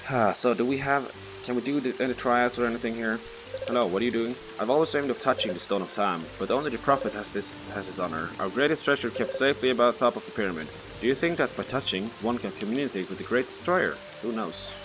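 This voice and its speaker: Over noticeable background noise, a man talks very fast at a medium pitch, with ordinary pitch variation. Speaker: gaming video creator. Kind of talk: let's play commentary. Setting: at home at night. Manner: loud.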